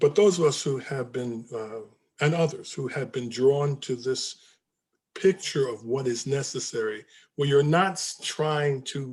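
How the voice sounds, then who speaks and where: A man's fairly high, somewhat breathy voice with ordinary pitch variation, at a fairly slow pace. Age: 70s. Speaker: book discussion leader. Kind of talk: group discussion. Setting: video call. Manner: halting.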